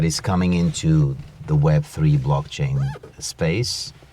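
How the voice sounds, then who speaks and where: Noticeable background noise sits behind a man talking at a very slow pace. His pitch swings very widely. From Portugal. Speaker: interview host. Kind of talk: interview conversation. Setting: in a car.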